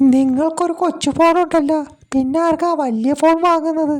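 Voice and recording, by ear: A cartoonish character voice that sounds female speaks fairly slowly at an extremely high pitch.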